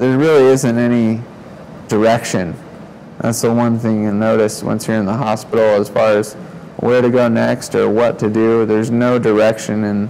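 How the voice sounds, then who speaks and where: A man at medium pitch and moderate pace, in a monotone, flat intonation amid noticeable background noise. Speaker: spinal cord injury survivor. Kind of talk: testimony. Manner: quiet, can't raise voice.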